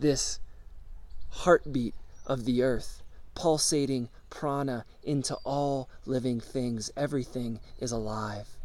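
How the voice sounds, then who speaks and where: On a very clean recording with a silent background, a man uses a put-on character voice at a medium pitch and a fairly slow pace. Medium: solo performance. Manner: insistent, repetitive, commanding.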